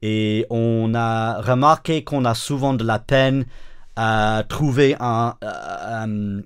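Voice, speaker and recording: Speaking very slowly, a man with an English accent uses fairly even intonation at a medium pitch. The recording is very clean, with a silent background. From northern England. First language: English (speaking French). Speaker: pastor and worship songwriter. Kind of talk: interview. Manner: halting, many hesitations.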